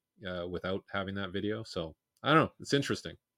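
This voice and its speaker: A man with an unremarkable speaking voice talks at a fairly quick pace in a fairly low pitch. The sound is dry and close with no echo, on a very clean recording with a silent background. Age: 50s. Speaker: sprint coach. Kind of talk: casual chat.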